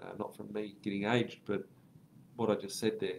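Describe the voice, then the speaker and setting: Someone with an Australian accent speaks at a moderate pace over light background noise. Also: man. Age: 30s. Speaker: property investment educator. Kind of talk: live stream Q&A; livestream commentary answering viewer comments. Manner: casual, filler-heavy.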